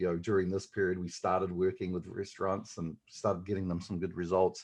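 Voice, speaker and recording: Against a quiet background, a man speaks with a very deep, low pitch in a New Zealand accent. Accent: New Zealand, noticeable. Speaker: digital marketing agency owner. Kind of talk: podcast interview. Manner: hesitant, many fillers.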